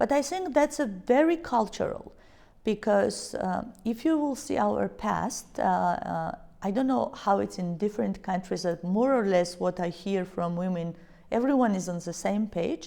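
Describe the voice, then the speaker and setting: A woman's moderate-paced speech in a Georgian accent. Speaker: business leader. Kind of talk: interview. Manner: hesitant, many fillers.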